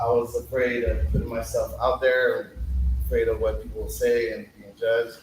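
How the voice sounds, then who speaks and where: A man talks at a moderate pace, and noticeable background noise can be heard. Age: 30s. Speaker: poet at open mic. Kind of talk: casual interview answers; spoken word performance. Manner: halting.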